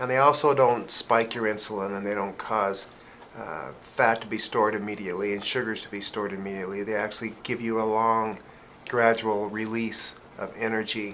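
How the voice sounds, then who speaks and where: Bright and sharp in tone, a man's fairly low voice moves at a fairly quick pace with fairly even intonation. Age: 50s. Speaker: pharmacist. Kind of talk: casual chat.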